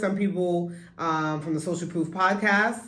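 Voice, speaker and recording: A woman with an American accent and a fairly low pitch, in audible room echo. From New York, Brooklyn. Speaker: podcast co-host, business owner. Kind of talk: casual chat.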